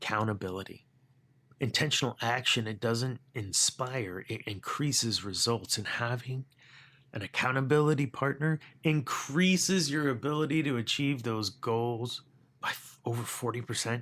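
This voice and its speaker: With an animated tone, a man at medium pitch talks at a moderate pace with ordinary pitch variation in a very clean recording with a silent background. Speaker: leadership podcast host. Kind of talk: motivational podcast monologue. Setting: home studio. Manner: animated, conversational.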